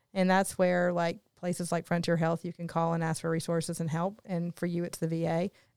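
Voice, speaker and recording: With a Southern US accent, a woman speaks at a fairly low pitch and a fairly quick pace on a very clean, dry, close recording with no echo and a silent background. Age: 40s. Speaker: podcast co-host. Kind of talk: casual interview; scripted disclaimer.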